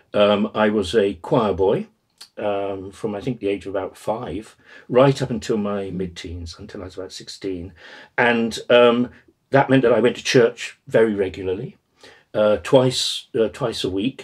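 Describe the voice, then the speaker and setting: A man with a southern English accent, fairly slow and fairly low, ordinary pitch variation and big swings in loudness, against a quiet background. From southern England (Exeter, then East Kent); southern England. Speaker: retired professor of Buddhist studies. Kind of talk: oral history interview; interview answer. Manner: halting, many fillers and repetitions. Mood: reflective, relaxed reminiscing. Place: home room.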